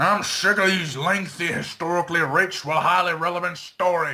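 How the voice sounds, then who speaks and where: A man puts on a growling, raspy character voice, high for a man, and talks at a fairly quick pace. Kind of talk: read story. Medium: read story. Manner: growled.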